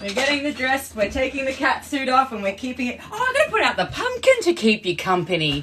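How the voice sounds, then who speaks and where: A woman with an Australian accent uses a raised, projected voice at a high pitch over noticeable background noise. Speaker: actress and filmmaker, livestream host. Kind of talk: casual livestream chat.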